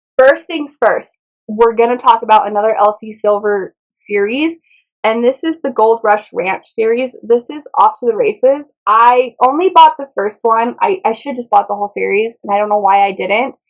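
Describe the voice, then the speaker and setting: The tone is animated. The pace is moderate. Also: woman. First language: Spanish. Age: 20s. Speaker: book vlogger. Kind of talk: casual chat.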